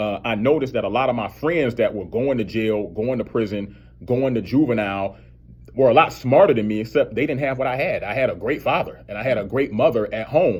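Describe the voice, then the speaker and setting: A man talks in a plain, everyday voice at medium pitch. His pace is fairly quick, with ordinary pitch variation. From US South. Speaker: criminal defense attorney. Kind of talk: radio interview.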